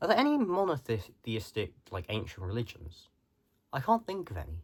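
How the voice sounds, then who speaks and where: A somewhat breathy man at a moderate pace, with very wide pitch swings. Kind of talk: casual talk to camera. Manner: rambling, hesitant.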